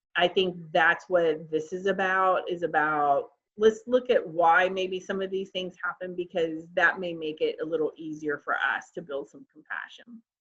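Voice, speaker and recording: In an ordinary speaking voice, a woman talks at a moderate pace with hardly any pauses and a fairly low pitch. Her intonation is fairly even, while her loudness swings widely. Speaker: licensed professional counselor. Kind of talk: webinar presentation.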